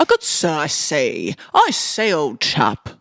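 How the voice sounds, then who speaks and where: A fairly slow put-on character voice, raspy in texture. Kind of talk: posh, upper class.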